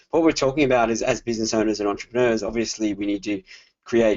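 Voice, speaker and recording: In an Australian accent, a man speaks with a fairly low pitch. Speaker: digital marketing consultant. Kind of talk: webinar presentation. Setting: online webinar.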